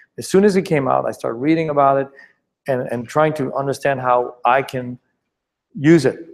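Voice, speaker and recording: Here a man speaks in a French accent at a fairly high pitch. His pace is moderate and his pitch varies in an ordinary way. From France, Paris. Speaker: startup founder and investor. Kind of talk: presentation Q&A. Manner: halting, many repetitions.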